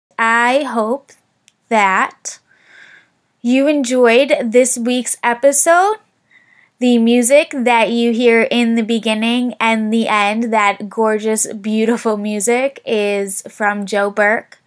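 A woman speaks at a very slow pace. Her voice is fairly high, with fairly even intonation. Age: 20s. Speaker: podcast host. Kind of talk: casual interview chat. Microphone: 10-year-old laptop mic, no microphone.

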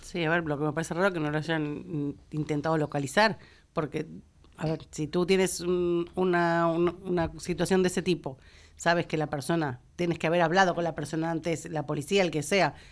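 The recording is very clean, with a silent background. The intonation stays monotone and flat. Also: woman, fairly low pitch for a woman, moderate pace. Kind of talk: casual radio panel discussion.

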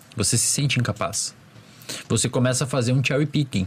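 Noticeable background noise sits under a man's voice. He speaks at a medium pitch and a fairly quick pace. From small town in the Brazilian interior. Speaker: psychologist. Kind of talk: casual chat.

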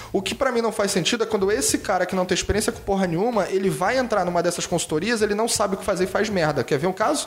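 A man in a Carioca accent, high-pitched and very fast with hardly any pauses and ordinary pitch variation, over noticeable background noise. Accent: carioca accent, clearly audible. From Rio de Janeiro, Brazil. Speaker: innovation consultant and designer. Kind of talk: casual lecture-style interview. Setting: improvised studio.

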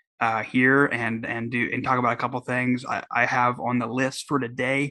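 A man with an American accent speaks at a moderate pace and medium pitch. His tone is bright and sharp, his intonation fairly even. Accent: sounds more Southern than usual. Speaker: political podcast host. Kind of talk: solo podcast commentary. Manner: casual, hesitant with many fillers.

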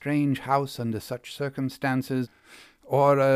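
This is a natural reading voice. It carries the words as read.

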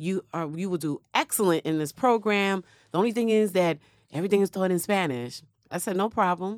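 In a dry, close recording with no echo and a very clean, silent background, a woman with an unremarkable speaking voice talks at a fairly quick pace and medium pitch, with ordinary pitch variation. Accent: American. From New York City, South Bronx. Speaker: emergency physician. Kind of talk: interview testimony.

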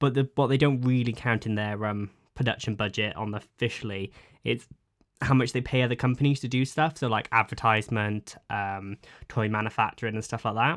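In a very clean recording with a silent background, a man speaks with a Welsh accent. His voice sits at a medium pitch, moving at a fairly quick pace with fairly even intonation. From Cwmbran, Wales. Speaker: podcast host. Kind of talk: casual chat.

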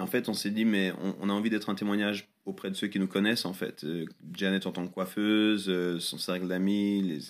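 A man speaks in a fairly low pitch at a moderate pace. His intonation is monotone and flat, and the recording is very clean with a silent background. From Switzerland, Lausanne. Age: 30s. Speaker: pastor. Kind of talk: interview.

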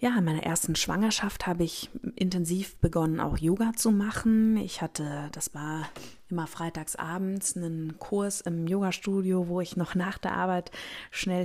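This woman has an unremarkable speaking voice with a fairly low pitch. She talks at a moderate pace with fairly even intonation. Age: 30s. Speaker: gynecologist and podcast host. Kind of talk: solo podcast monologue.

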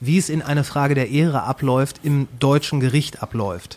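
Speaking at a fairly slow pace, a man has a fairly high pitch and an unremarkable speaking voice. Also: very clean recording, silent background. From Ruhr area, Germany (Kamen). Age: 40s. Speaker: podcaster. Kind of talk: casual chat.

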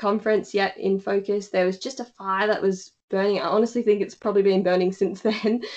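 This woman has an Australian accent and a medium pitch. She talks at a fairly quick pace with hardly any pauses and fairly even intonation. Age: 20s. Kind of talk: casual interview.

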